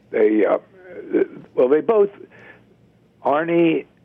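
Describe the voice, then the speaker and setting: A man's voice over noticeable background noise. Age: 80s+. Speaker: author and former golf executive. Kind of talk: casual interview.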